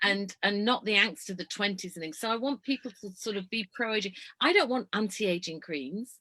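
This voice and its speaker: Speaking in a Yorkshire accent, a woman talks at a fairly quick pace with hardly any pauses in a bright, sharp, animated tone, the sound dry and close with no echo. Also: medium pitch for a woman, lively intonation. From Yorkshire, northern England (Leeds). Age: 60s. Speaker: motorhome traveller and ageism speaker. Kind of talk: casual chat.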